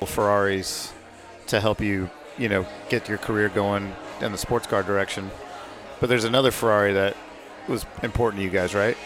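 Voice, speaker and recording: A man talks with a fairly low pitch and a monotone, flat intonation. He leaves long, frequent pauses, and background noise is noticeable. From Atlanta, US South. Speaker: podcast co-host, racing driver. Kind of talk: casual chat.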